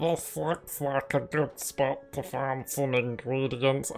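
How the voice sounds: At a fairly slow pace, a put-on character voice speaks in a low-to-middle pitch over clear background noise.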